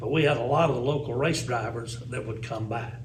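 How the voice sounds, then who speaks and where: Over noticeable background noise and audible room echo, a man speaks with a Tennessee accent. His pitch is medium with ordinary variation, and his pace is moderate. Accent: Southern US (Tennessee). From US South, Tennessee (Sparta). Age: 60s. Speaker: former radio DJ and race track announcer. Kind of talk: casual interview storytelling. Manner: animated.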